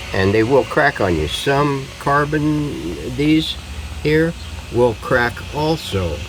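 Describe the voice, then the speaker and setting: A man at a fairly high pitch and very slow pace, with very even loudness amid noticeable background noise. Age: 70s. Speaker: hobbyist radio restorer. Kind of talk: tutorial. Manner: casual, halting with many fillers.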